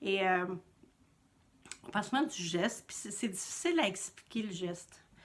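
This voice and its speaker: A woman at medium pitch speaks at a moderate pace with ordinary pitch variation, long and frequent pauses, and big swings in loudness. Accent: Quebec. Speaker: knitting podcaster and yarn dyer. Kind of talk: casual vlog monologue.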